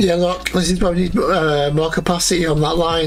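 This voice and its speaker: Music plays in the background as a man with a Yorkshire accent speaks at a high pitch amid audible room echo. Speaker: gaming YouTuber. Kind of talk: gameplay commentary. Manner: fast.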